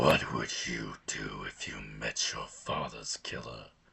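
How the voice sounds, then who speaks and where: In a put-on character voice, a man growls out a raspy, menacing tone at a very deep, low pitch and a fairly slow pace. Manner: menacing, taunting.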